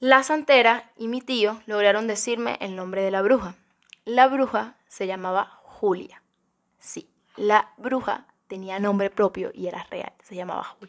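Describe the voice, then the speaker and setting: A woman talks at a fairly slow pace with ordinary pitch variation and big swings in loudness, against a quiet background. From Cuba. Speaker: YouTuber. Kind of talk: ASMR-style ghost story telling, hushed and suspenseful. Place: home room. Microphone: studio mic.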